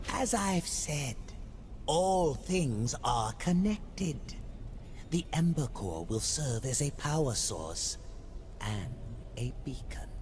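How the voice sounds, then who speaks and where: A put-on character voice at a low-to-middle pitch speaks at a very slow pace. Long, frequent pauses break it up, over clear background noise. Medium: video game. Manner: cryptic, slow, murmuring.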